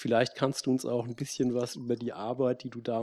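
On a very clean recording with a silent background, a man speaks in a dark, mellow tone at a medium pitch with monotone, flat intonation. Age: 30s. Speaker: moderator, social anthropologist. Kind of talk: panel discussion. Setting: stage with audience.

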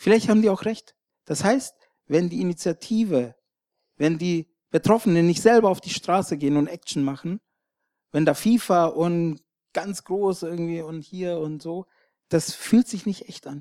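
The sound is dry and close with no echo, as a man with a high pitch and a dark, mellow tone speaks at a moderate pace. He leaves long, frequent pauses, his loudness swings widely, and his pitch varies in an ordinary way. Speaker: Roma rights activist. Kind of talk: panel discussion. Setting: stage with audience.

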